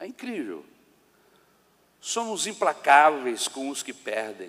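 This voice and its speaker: At a very slow pace, a man is speaking. His pitch swings very widely. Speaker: pastor. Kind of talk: sermon. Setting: church.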